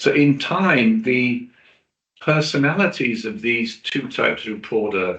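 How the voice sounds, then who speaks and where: Here is a man in a British accent at medium pitch. He talks at a fairly slow pace with lively intonation. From Britain. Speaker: journalist and PR specialist. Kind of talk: webinar presentation. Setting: online webinar.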